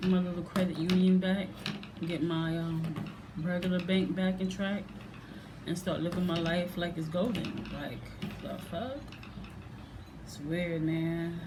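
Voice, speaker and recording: Through noticeable background noise and audible room echo, a woman with a fairly low pitch speaks at a fairly slow pace with fairly even intonation and long, frequent pauses. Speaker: reaction video vlogger. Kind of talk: casual vlog monologue. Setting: at home.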